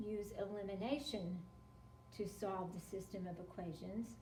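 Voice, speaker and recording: A woman at medium pitch and a fairly slow pace, with ordinary pitch variation, audible room echo and noticeable background noise. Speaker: math teacher. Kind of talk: tutorial.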